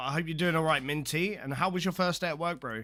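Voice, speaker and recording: In a very clean recording with a silent background, a man with a British accent speaks in a fairly high, bright, sharp tone. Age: 30s. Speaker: game streamer. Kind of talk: live stream chat.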